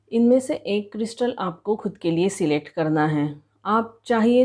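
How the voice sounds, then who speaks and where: A woman with a Marathi accent speaks at a medium pitch with a dark, mellow tone. Her intonation is lively, and the background is quiet. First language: Marathi (speaking Hindi). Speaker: tarot reader. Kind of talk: tarot reading for viewers.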